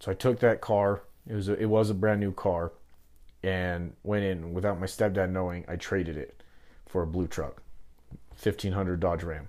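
A man with an American accent, very deep and low in pitch, fairly even in intonation, at a moderate pace with long, frequent pauses, in a very clean recording with a silent background. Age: 20s. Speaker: entrepreneur, metal fabrication business owner. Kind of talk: interview, personal life story.

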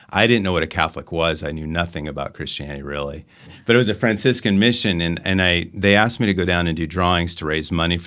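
Very fast and very deep, a man's voice carries a bright, sharp tone with ordinary pitch variation. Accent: General American. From Arizona. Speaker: parish children's faith formation director. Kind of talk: testimony.

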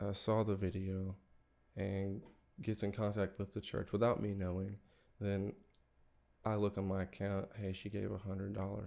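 Captured on a very clean recording with a silent background, a man with an American accent talks at a fairly low pitch and a fairly quick pace. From North Carolina and Arkansas. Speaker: campus minister. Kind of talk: casual chat. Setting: studio.

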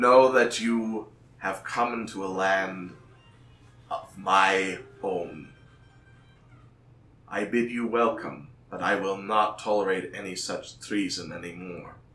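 In a put-on character voice, this loud, booming delivery moves at a fairly slow pace with long, frequent pauses. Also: man, fairly low pitch for a man. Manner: commanding, threatening.

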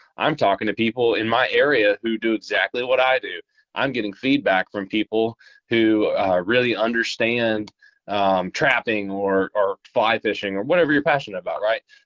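A man talks at a moderate pace with an Appalachian accent. His pitch is medium, with ordinary variation. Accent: Appalachian Southern US. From Appalachia, eastern Kentucky. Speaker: social media app representative. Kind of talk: casual interview. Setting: phone call.

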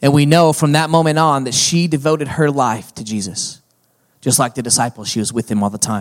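A man with a normal speaking voice and a fairly high pitch talks at a fairly quick pace with ordinary pitch variation. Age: 40s. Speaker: pastor. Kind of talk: sermon. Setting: church.

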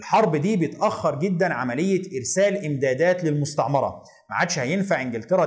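Speaking at a moderate pace with lively intonation, a man with a fairly high pitch is heard in a room with audible echo. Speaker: history educator. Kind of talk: educational lecture video.

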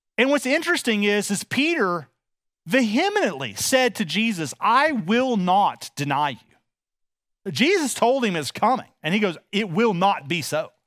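Speaking at a fairly slow pace with a Texas accent, a man uses a high pitch with very wide swings, recorded very cleanly against a silent background. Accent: Texas Southern US. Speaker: pastor. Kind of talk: sermon. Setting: church. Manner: informal, warm, many filler words.

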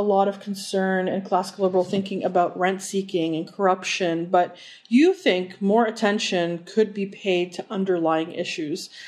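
A woman with an ordinary speaking voice, medium in pitch, at a moderate pace. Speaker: interviewer. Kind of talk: casual interview.

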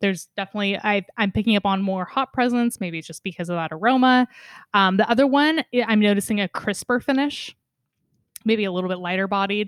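Very cleanly recorded against a silent background, a woman with a medium pitch and ordinary pitch variation speaks at a very fast pace in a dry, close sound with no echo. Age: 20s. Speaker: podcast host and beer educator. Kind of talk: casual chat.

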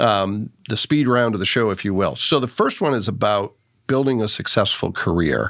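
On a very clean recording with a silent background, an unremarkable speaking voice moves at a moderate pace, its pitch varying in an ordinary way. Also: man, medium pitch for a man. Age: 50s. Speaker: podcast host. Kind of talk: casual interview.

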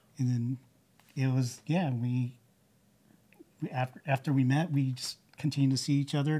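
A man with a medium pitch and a dark, mellow tone talks at a moderate pace in a somewhat breathy voice, his intonation fairly even and broken by long, frequent pauses. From California, Bay Area (Santa Clara, Sunnyvale). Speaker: churchgoer sharing his story. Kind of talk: interview testimony. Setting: church building recording. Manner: halting, many fillers.

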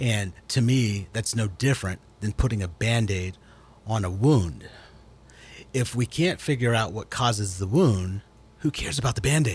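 A man speaks in a fairly low, somewhat breathy voice. He leaves long, frequent pauses. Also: ordinary pitch variation, moderate pace. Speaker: guest discussing race and faith. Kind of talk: radio interview. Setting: radio studio.

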